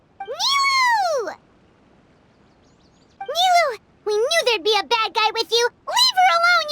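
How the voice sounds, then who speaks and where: Squeaky and extremely high, the put-on character voice moves at a fairly slow pace with long, frequent pauses. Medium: video game. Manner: stammering, hesitant.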